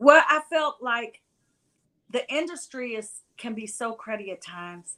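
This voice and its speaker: Delivered at a fairly slow pace with an American accent, this voice has a bright, sharp tone, lively intonation and big swings in loudness, in a very clean recording against a silent background. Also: woman, high pitch for a woman. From West Virginia. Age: 60s. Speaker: music event promoter. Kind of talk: interview.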